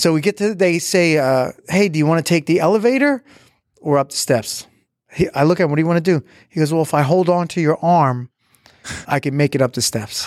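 A man with a fairly high pitch and a normal speaking voice talks at a fairly quick pace with ordinary pitch variation, in a very clean, silent-background recording with a dry, close sound and no echo. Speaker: podcast co-host. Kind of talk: casual banter. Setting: studio. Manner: teasing, fast talking.

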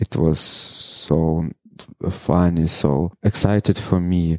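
In a dry, close sound with no echo, a man speaks at a very slow pace. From Ukraine, Mariupol. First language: Russian. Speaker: adult film performer. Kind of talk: interview. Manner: halting, broken English with many pauses.

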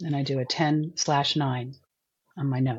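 This woman's voice is very deep and low, somewhat breathy, and delivered in a monotone, flat intonation. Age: 60s. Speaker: alcohol cut-back coach. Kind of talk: interview, personal story.

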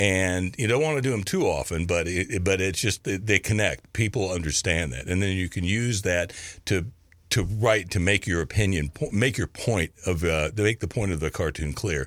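On a very clean recording with a silent background, a man with a slight Kentucky accent speaks at a moderate pace in a very deep, low voice with ordinary pitch variation. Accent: Kentucky Southern US, slight. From Kentucky, US. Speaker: cartoonist. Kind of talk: casual interview chat. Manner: halting, filler-heavy.

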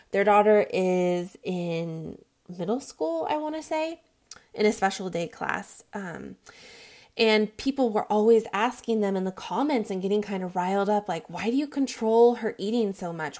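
This woman has a dark, mellow tone and a medium pitch. She talks at a moderate pace with ordinary pitch variation. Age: 30s. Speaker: weight loss podcaster. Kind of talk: personal monologue.

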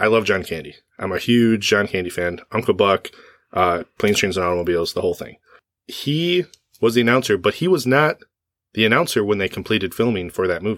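This is an ordinary speaking voice with lively intonation. The pace is fairly quick. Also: man, fairly low pitch for a man. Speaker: podcast host. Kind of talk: casual chat.

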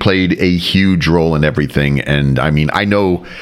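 A man's moderately paced speech comes with noticeable noise in the background. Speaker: podcast host. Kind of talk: casual chat.

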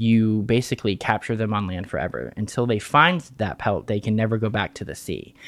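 A man with an American accent at medium pitch and a fairly quick pace, in a very clean recording with a silent background. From West Virginia (Fairmont). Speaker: folklorist. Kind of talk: casual interview. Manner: hesitant, many fillers.

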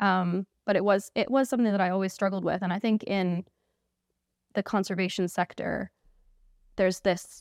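On a very clean recording with a silent background and a dry, close sound with no echo, a woman with a Canadian accent speaks in a normal speaking voice at a medium pitch, a moderate pace and with fairly even intonation. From Canada. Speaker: engagement specialist. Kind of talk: casual chat. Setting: studio.

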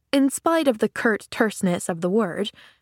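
The clip is read aloud in a natural voice.

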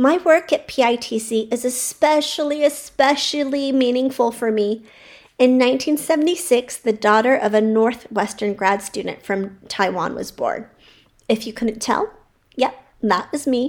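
Speaking at a fairly slow pace, a woman with an American accent uses a high pitch. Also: ordinary pitch variation. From California. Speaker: childcare center owner and educator. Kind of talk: personal storytelling monologue.

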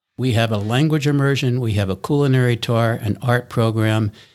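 A man with an American accent has an ordinary speaking voice at a medium pitch, talking at a moderate pace with fairly even intonation. The recording is very clean, with a silent background. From US East Coast. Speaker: non-profit co-founder, former ad executive. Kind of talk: interview.

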